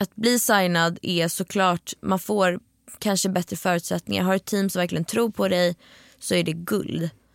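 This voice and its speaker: A woman with a normal speaking voice talks at a moderate pace and a fairly low pitch, her intonation fairly even and her loudness very even. The recording is very clean, dry and close, with a silent background and no echo. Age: 20s. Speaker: singer-songwriter podcast co-host. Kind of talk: casual chat.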